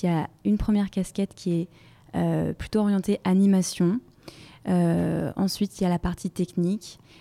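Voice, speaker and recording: In a very clean recording with a silent background and a dry, close sound with no echo, a woman speaks at a moderate pace with a dark, mellow tone, very even loudness and fairly even intonation. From Brittany, France. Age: 20s. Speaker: e-commerce project manager. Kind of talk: interview.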